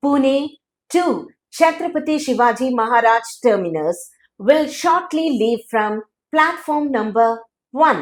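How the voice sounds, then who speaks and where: Recorded very cleanly against a silent background, a woman speaks with a high pitch and lively intonation. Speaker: dubbing artist, train announcement voice. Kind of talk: railway station train announcement in English.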